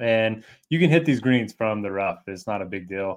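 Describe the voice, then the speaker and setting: Here is a man with an unremarkable speaking voice and a medium pitch. He talks at a fairly quick pace with ordinary pitch variation. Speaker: golf DFS co-host. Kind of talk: casual sports betting chat.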